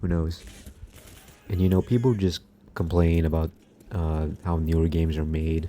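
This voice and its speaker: A man with a very deep, low pitch and a relaxed tone, fairly even intonation, moderate pace, long and frequent pauses. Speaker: gaming commentary youtuber. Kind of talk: casual monologue over gameplay. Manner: monotone; relaxed, low energy.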